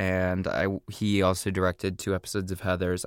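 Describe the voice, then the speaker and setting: Over music in the background, a man with an American accent talks at a very deep, low pitch, the sound dry and close with no echo. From US Midwest, small-town Indiana. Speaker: actor and comedian. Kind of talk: casual interview.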